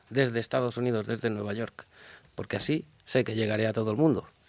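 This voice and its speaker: With ordinary pitch variation, a man's voice stays at a medium pitch. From Valencia, Spain. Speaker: jazz musician. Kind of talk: radio interview. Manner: halting, many fillers.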